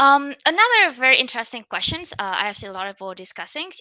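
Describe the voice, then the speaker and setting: Someone with a Vietnamese accent speaks in a bright, sharp tone, the sound dry and close with no echo. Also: woman. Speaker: conference speaker on machine learning. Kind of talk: conference talk. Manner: many fillers and restarts.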